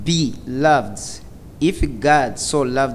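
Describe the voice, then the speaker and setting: Very slowly, a man speaks with a non-native accent and ordinary pitch variation. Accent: foreign-accented English. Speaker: church member reading scripture and praying. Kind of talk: scripture reading and prayer. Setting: church with audience.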